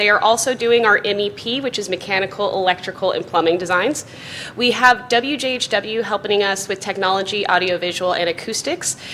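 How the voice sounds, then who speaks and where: Speech with ordinary pitch variation comes at a fairly quick pace over noticeable background noise. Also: woman. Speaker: architect presenting to school board. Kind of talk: presentation to school board. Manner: fast.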